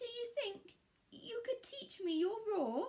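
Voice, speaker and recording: In a put-on character voice, a woman sounds squeaky and timid, her pitch extremely high and her intonation lively, at a fairly slow pace. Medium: read story. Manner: timid, squeaky.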